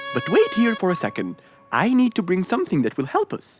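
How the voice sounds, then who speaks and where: Faint music plays in the background behind a cartoonish character voice. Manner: calm, friendly.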